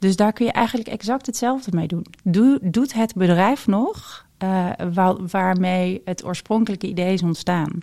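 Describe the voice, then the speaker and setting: A woman's medium-pitched, dark, mellow voice at a fairly slow pace with ordinary pitch variation. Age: 40s. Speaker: intuitive coach and reader. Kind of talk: casual interview.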